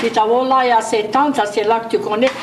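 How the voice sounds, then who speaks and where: A woman with a Cajun accent talks over noticeable background noise. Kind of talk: cooking instructions to camera. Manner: casual, chatty.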